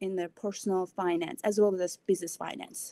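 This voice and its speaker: Her tone is dark and mellow, with a Mongolian accent. The woman's sound is dry and close, with no echo. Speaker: financial professional. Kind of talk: podcast interview.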